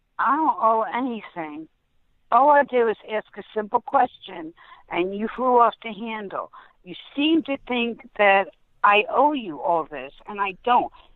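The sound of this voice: At a fairly slow pace, a woman speaks with a fairly high pitch and lively intonation. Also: dry, close sound with no echo.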